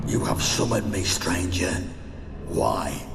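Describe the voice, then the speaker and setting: A put-on character voice at a fairly slow pace, with clear echo and loud background noise. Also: man. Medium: short film.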